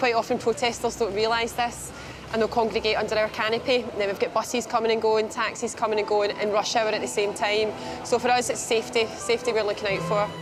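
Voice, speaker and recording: Over music in the background and audible room echo, a woman with a Glasgow accent speaks very fast at a fairly high pitch, her intonation monotone and flat and her loudness very even. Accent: Scottish (Glasgow). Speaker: railway station staff. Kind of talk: casual chat.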